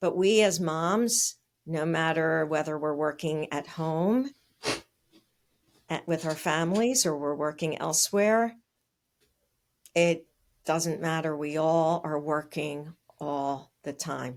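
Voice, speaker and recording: On a very clean recording with a silent background, a woman with a very deep, low pitch and ordinary pitch variation speaks at a very slow pace with long, frequent pauses. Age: 60s. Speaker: speech-language pathologist. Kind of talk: interview.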